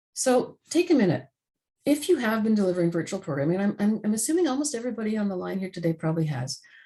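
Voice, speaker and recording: This woman talks at a very fast pace with very wide pitch swings, a medium pitch and a somewhat breathy quality. Her tone is dark and mellow, and the background is quiet. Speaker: webinar facilitator. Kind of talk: webinar presentation.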